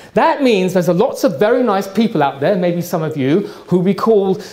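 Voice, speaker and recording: With lively intonation, a man talks in a high pitch amid noticeable background noise and audible room echo. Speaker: trend forecaster. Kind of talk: lecture. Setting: stage with audience. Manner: fast.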